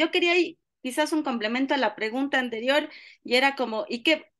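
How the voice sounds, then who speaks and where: The woman's voice sits at a high pitch with ordinary pitch variation. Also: quiet background. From Ecuador, Cuenca. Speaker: course participant. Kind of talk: question in online seminar.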